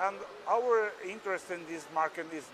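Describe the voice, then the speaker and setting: With a Portuguese accent, a man talks at a moderate pace in a high pitch, his pitch varying in an ordinary way. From Portugal. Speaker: machinery exhibitor. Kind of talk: interview. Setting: trade fair exhibition hall. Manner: halting, hesitant English.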